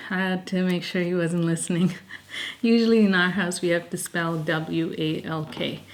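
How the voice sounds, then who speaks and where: Soft-spoken, a woman talks with a fairly low pitch. She keeps a moderate pace and fairly even intonation. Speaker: lifestyle vlogger. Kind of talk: casual vlog talk to camera. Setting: at home.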